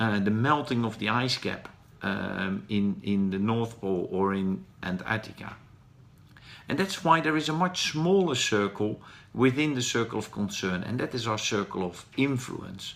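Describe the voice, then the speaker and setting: A man with a Dutch accent speaks at medium pitch and a moderate pace. His intonation is lively. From Netherlands. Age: 40s. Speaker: professional speaker. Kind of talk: live stream talk. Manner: hesitant, with fillers.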